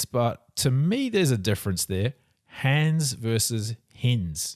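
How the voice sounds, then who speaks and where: Against a silent background in a very clean recording, a man with a medium pitch talks at a very slow pace with lively intonation. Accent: New Zealand. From New Zealand. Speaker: video host reacting to a pronunciation lesson. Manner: casual, conversational.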